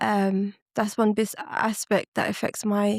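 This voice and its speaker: Recorded very cleanly with a silent background and a dry, close sound with no echo, a woman speaks at a medium pitch with monotone, flat intonation. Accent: London. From West London, arrived at nine from Ethiopia. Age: 30s. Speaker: podcast guest. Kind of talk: casual chat.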